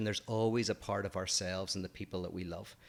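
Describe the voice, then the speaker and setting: On a very clean recording with a silent background, a man with an Irish accent talks at a fairly quick pace in a flat, monotone intonation. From Ireland. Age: 40s. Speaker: philosopher, podcast co-host. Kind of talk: casual chat.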